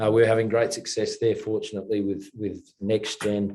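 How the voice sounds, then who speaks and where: A man with an Australian accent speaks at a moderate pace in a fairly low, dark, mellow voice against a quiet background. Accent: Australian, kept. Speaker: mining company chairman and investor. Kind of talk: interview.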